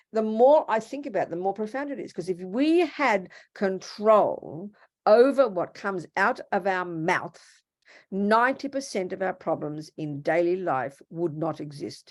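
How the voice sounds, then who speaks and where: With an Australian accent, a woman speaks at a medium pitch and a fairly slow pace, her pitch swinging very widely against a quiet background. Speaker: Buddhist nun and teacher. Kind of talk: dharma talk. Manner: animated.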